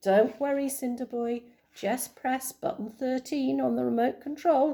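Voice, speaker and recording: A high-pitched, put-on character voice from a woman, moving at a moderate pace. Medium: read story.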